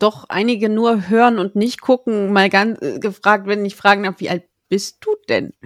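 A woman's ordinary speaking voice at a medium pitch, fairly slow in pace, with fairly even intonation and a dry, close sound with no echo. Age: 30s. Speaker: podcast host on book marketing. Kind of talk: interview.

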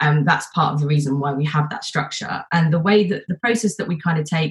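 A woman talks at a fairly quick pace. Her voice is somewhat breathy and very deep and low in pitch. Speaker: support leader panelist. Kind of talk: panel discussion.

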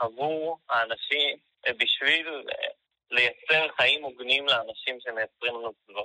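Ordinary pitch variation and a fairly high pitch mark this man's speech, which moves at a fairly slow pace. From Israel, Haifa. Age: 20s. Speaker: fair trade activist. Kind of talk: interview.

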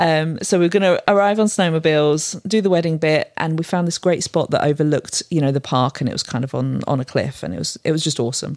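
A woman with a British accent speaks at a very fast pace. Her pitch is very deep and low, with ordinary variation. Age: 40s. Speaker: photographer. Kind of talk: casual chat.

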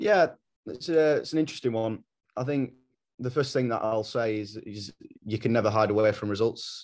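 The voice belongs to a man of medium pitch, with ordinary pitch variation. He leaves long, frequent pauses. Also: moderate pace. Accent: English. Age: 20s. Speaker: rugby coach. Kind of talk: interview. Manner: halting, many fillers.

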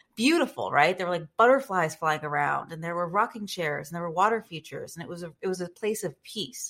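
In a plain, everyday voice with fairly low pitch, a woman speaks with lively intonation, big swings in loudness and hardly any pauses, in a very clean recording with a silent background. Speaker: guest, personal brand and storytelling coach. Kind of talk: podcast interview.

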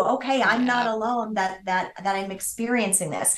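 A normal speaking voice: a woman with an American accent, fairly high in pitch, at a moderate pace. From US Midwest. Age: 50s. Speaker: business founder. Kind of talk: interview.

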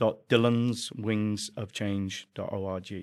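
A man with an English accent speaks in a fairly low voice, his intonation flat and monotone. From England. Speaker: charity founder. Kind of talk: casual interview.

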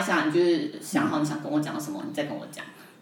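A woman with a Taiwanese accent and a fairly low pitch, talking at a very fast pace with very wide pitch swings, amid noticeable background noise and audible room echo. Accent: Taiwanese Mandarin. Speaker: YouTuber and video producer. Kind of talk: casual interview chat.

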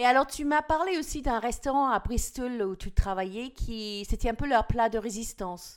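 A woman with an English accent, high-pitched and lively in intonation, at a moderate pace over a very clean recording with a silent background. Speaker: podcast host. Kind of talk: casual interview chat.

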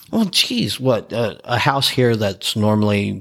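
This is a man speaking with a Texan accent. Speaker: podcast host, EMT. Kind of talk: casual chat.

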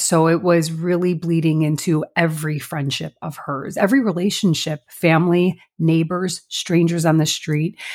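A woman with a Chicago accent talks in a fairly low pitch. Her very clean recording has a silent background. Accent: Midwest American (Chicago area). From Chicago suburbs, US Midwest. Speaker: podcast co-host and business owner. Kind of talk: casual chat.

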